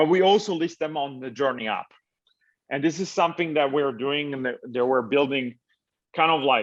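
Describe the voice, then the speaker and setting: A man with an Italian accent at a fairly high pitch, ordinary pitch variation and a moderate pace, over a quiet background. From Italy. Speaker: tech startup founder. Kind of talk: interview. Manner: halting, many fillers and restarts.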